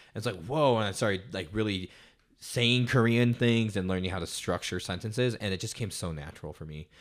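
On a very clean recording with a silent background, a man with an American accent talks fairly quickly in an ordinary speaking voice, fairly low in pitch with ordinary pitch variation. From Colorado, US. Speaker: photographer and musician. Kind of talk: casual chat.

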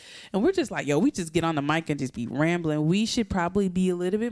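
A woman with a plain, everyday voice and an American accent speaks at a fairly low pitch with lively intonation, in a dry, close sound with no echo. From US coastal region. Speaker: podcast co-host. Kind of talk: casual chat.

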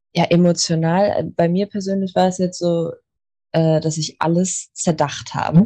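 A woman speaks at a fairly slow pace in a fairly low pitch. Her tone is dark and mellow, and her intonation is flat and monotone. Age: 20s. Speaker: medical assistant and Reiki student. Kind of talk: casual interview. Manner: hesitant, many fillers.

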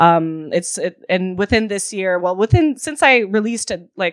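Her voice is a normal speaking voice: a woman at medium pitch, talking fairly quickly, with a dry, close sound with no echo. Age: 20s. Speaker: DJ and producer. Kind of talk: interview. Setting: remote call.

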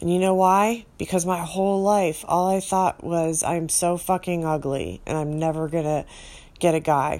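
Her pitch fairly low for a woman, she speaks at a moderate pace with fairly even intonation. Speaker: podcast host, former radio presenter. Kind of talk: solo confessional monologue. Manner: sighing.

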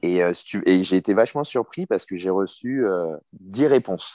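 Very deep and low, a man's voice with a dark, mellow tone moves at a moderate pace with ordinary pitch variation, dry and close with no echo over a quiet background. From Paris suburbs, France (Hauts-de-Seine). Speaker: former professional rugby player. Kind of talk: interview. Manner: halting, many repetitions.

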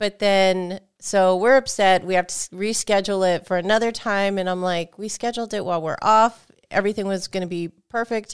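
A woman with a normal speaking voice talks at a fairly quick pace with fairly even intonation, in a dry, close sound with no echo on a very clean recording with a silent background. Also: medium pitch for a woman. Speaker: gaming podcast co-host and game reviewer. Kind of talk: casual chat. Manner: laughs often.

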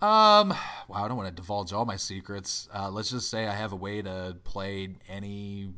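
There is audible room echo around this man's voice. He speaks at a moderate pace with a bright, sharp tone. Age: 30s. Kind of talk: casual chat.

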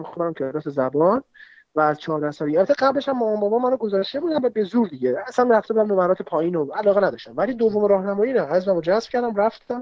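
Lively intonation at a very fast pace. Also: man. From Tehran, Iran. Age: 20s. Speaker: athlete and film enthusiast. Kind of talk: casual chat.

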